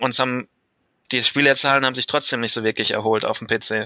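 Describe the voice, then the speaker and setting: In a dry, close recording with no echo, a man talks at a fairly quick pace with a bright, sharp tone, a medium pitch and monotone, flat intonation. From Germany, Mainz. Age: 20s. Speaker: listener guest, gaming fan. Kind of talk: casual chat.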